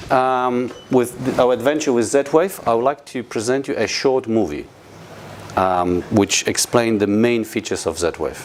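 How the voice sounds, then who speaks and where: With a Polish accent, a man talks at a fairly slow pace in a medium pitch, his intonation lively over noticeable background noise. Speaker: company representative presenting products. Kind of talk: product presentation to an audience. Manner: halting, many fillers.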